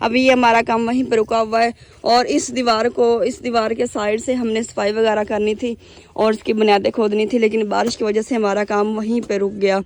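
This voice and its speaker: A woman with a fairly high pitch and monotone, flat intonation, at a moderate pace. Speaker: village vlogger. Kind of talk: casual vlog narration.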